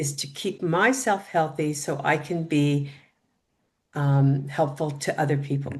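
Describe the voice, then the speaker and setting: Somewhat breathy, a woman speaks at a very deep, low pitch and a fairly slow pace. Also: ordinary pitch variation. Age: 60s. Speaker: triathlete. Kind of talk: interview.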